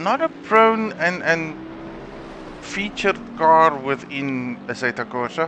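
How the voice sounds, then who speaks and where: A man talks with lively intonation while noticeable background noise fills the recording. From South Africa. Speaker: esports race commentator. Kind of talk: live commentary. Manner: hesitant, frequent fillers and repetitions.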